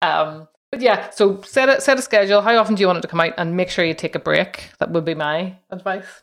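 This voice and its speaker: On a very clean recording with a silent background, a woman in an unremarkable speaking voice talks at medium pitch with ordinary pitch variation. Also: fairly quick pace. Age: 40s. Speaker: podcaster. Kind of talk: casual interview.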